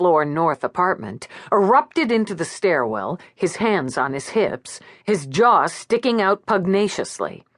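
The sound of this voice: Lively intonation in an unforced reading voice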